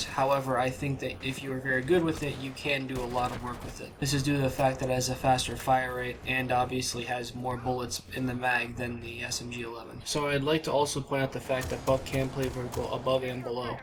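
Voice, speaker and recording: A man at medium pitch rattles off words at a very fast pace in a monotone, flat intonation over noticeable background noise. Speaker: gaming youtuber. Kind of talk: gaming tips commentary.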